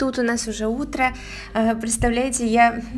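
A woman talks at a moderate pace in a fairly high pitch. Hers is an unremarkable speaking voice. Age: 30s. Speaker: mother of eight. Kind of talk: vlog voiceover.

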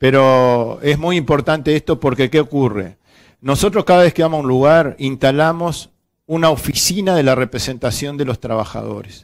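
A man at a moderate pace with ordinary pitch variation, over a quiet background. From Uruguay. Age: 50s. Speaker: union representative on social security board; guest. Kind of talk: interview. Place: studio. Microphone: headset.

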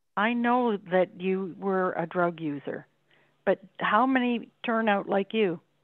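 A woman speaks at a very slow pace in a medium pitch. The sound is dry with no echo, and the background is quiet. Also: ordinary pitch variation. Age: 70s. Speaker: resident giving a deputation. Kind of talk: council meeting deputation questions. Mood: skeptical, challenging. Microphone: video call.

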